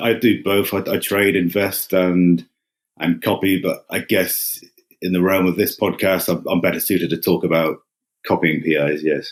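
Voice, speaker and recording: A man with an English accent talks at a moderate pace in a very deep, low voice, keeping his loudness very even. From England. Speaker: retail investor. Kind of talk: podcast interview. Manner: flat, unexcited.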